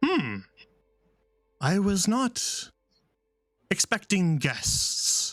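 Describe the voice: A put-on character voice talks very slowly with long, frequent pauses while faint music plays in the background.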